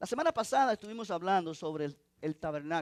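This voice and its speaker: At a moderate pace, a man with a high pitch speaks with lively intonation in a dry, close sound with no echo. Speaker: pastor. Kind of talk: sermon.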